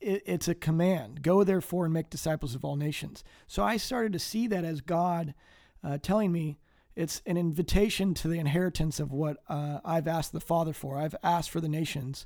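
This man talks at a fairly quick pace with an American accent, a fairly high pitch, and ordinary pitch variation. His tone is dark and mellow, and the recording is very clean with a silent background. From US Midwest. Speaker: missionary. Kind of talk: interview. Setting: studio.

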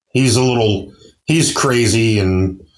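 In a very clean recording with a silent background, a man speaks at a very slow pace in a somewhat breathy voice with ordinary pitch variation. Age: 40s. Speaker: truck driver and stand-up comic. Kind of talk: casual chat. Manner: halting.

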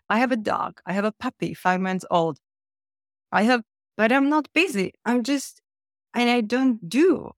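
The speaker talks at a fairly slow pace with a non-native accent, leaving long, frequent pauses. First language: not English. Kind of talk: interview conversation.

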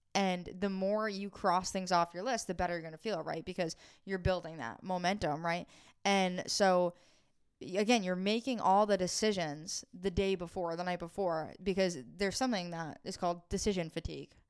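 This is an unremarkable speaking voice at a moderate pace with fairly even intonation. The recording is very clean, with a silent background. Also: woman, medium pitch for a woman. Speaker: PTSD recovery coach. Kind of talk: casual chat. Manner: laughs often.

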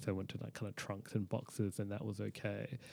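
Speaking with an Australian accent at a fairly quick pace, a man with a fairly low pitch comes through on a very clean recording with a silent background. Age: 30s. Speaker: chronic pelvic pain patient. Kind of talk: interview. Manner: halting.

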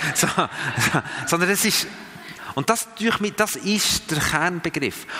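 A man's voice over noticeable background noise. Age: 50s. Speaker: missionary and church trainer. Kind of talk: teaching talk to a group. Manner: halting, many fillers and restarts.

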